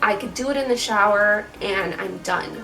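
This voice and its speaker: A woman with an American accent and fairly high pitch, at a fairly slow pace with ordinary pitch variation, music in the background. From Chicago. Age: 20s. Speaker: beauty vlogger. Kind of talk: casual talk to camera. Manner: casual, chatty.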